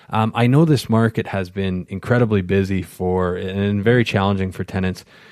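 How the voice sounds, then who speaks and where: A man speaks with ordinary pitch variation in a dry, close recording with no echo, very clean against a silent background. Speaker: podcast host. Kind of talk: casual interview. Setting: in person.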